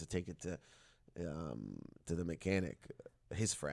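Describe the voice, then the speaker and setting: A man speaks with fairly even intonation in a very clean recording with a silent background. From Windsor, Ontario, Canada. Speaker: stand-up comedian and actor. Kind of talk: casual chat. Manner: distinctive rhythmic cadence.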